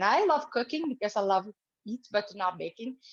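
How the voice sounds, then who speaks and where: A woman speaks in an Italian accent at a fairly high pitch with ordinary pitch variation. The sound is dry and close with no echo, over a quiet background. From Italy. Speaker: cooking demonstrator. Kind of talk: cooking tutorial. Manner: halting, many fillers.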